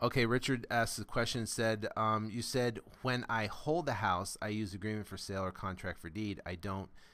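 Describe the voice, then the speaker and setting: A man with a fairly low voice and ordinary pitch variation is heard on a very clean recording with a silent background. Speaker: real estate investing coach. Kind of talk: live coaching call Q&A. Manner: animated.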